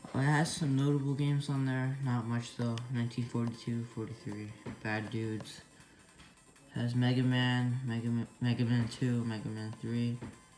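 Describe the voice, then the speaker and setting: At a moderate pace, the voice comes over music in the background. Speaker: retro gaming reviewer. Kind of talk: casual product review talk.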